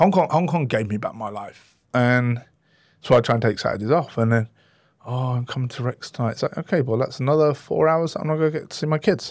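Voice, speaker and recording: A man with an English accent at a medium pitch and a very fast pace, in a very clean recording with a silent background. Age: 40s. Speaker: chef. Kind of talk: interview.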